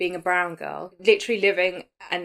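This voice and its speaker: A woman speaks in a British accent at a medium pitch. Her pace is moderate. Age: 30s. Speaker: podcast host. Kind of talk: casual chat. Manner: animated.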